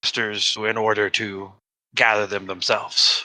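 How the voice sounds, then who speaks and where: Using a put-on character voice, a man talks at a moderate pace with a fairly low pitch. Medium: actual play. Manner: lofty, pompous.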